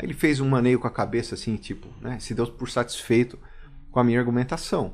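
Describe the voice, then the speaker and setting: A man speaks at a fairly quick pace, his medium-pitched voice keeping a fairly even intonation. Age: 40s. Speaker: police chief. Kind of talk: casual chat. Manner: hesitant, with fillers.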